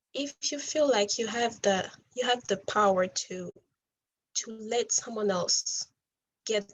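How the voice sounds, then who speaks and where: A woman speaks at a medium pitch with a non-native accent. Her pace is very slow and her voice somewhat breathy. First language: not English. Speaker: refugee speaker. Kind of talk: motivational talk.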